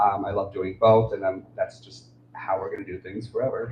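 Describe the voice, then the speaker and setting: Over noticeable background noise, a man talks at a fairly quick pace with a medium pitch. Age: 30s. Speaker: author and poet. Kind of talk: livestream talk about own books. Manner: halting.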